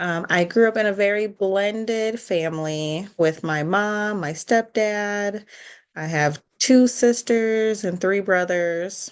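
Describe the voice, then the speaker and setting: Against a quiet background, a woman with a Chicago accent speaks at a very slow pace. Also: medium pitch for a woman, ordinary pitch variation. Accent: Chicago-area American. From US Midwest, Chicago suburbs. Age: 30s. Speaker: podcast co-host. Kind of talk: casual chat.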